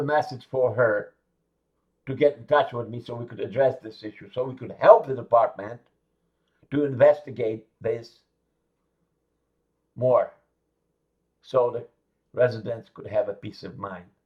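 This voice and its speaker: A man talks at a fairly slow pace, leaving long, frequent pauses. His somewhat breathy voice has ordinary pitch variation and big swings in loudness. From Eastern Europe. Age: 60s. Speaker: neighborhood watchdog vlogger. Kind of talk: informal video monologue.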